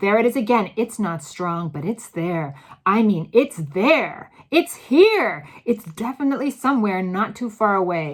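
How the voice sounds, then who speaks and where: In a put-on character voice that is female-sounding, shrill and medium-pitched for a woman, the words come at a moderate pace with hardly any pauses. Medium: read story.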